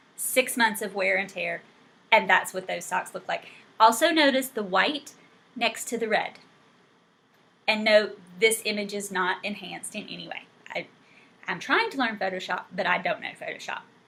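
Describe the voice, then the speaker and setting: Over noticeable background noise, a woman with a fairly high pitch speaks at a moderate pace in an animated tone, with big swings in loudness and long, frequent pauses. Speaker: knitting podcaster. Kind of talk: casual video podcast chat.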